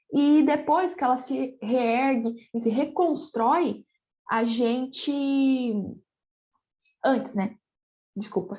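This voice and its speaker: Her voice sits high in pitch, and the woman varies it in an ordinary way. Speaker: geography teacher. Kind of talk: recorded online lecture. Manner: animated.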